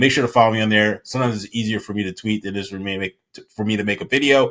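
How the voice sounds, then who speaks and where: The man's voice sits fairly low in pitch. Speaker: crypto YouTuber. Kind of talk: casual commentary video. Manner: fast; animated.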